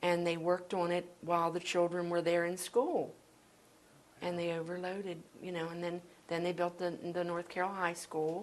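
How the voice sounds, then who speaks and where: A woman's fairly low voice with an American accent, flat and monotone in intonation. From Baltimore, Maryland. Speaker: former school worker. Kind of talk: oral history interview answer.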